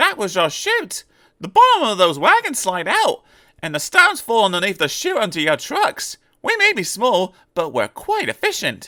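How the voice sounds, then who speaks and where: At a moderate pace, a man talks in a put-on character voice pitched extremely high. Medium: read story. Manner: friendly, good-humoured.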